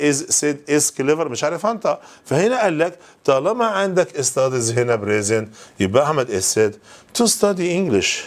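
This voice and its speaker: Moderate speed and a fairly high pitch from a male speaker. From Egypt. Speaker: English teacher. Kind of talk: lecture. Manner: animated. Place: classroom. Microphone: lapel.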